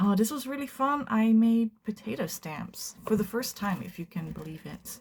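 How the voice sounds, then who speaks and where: The voice comes in a Dutch accent at a fairly slow pace. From Netherlands. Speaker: art youtuber. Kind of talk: casual chat. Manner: casual, hesitant.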